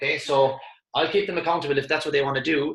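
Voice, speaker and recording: A man speaks at a very fast pace in a passionate tone. His pitch is fairly high, with fairly even intonation. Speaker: motivational speaker. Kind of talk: webinar presentation.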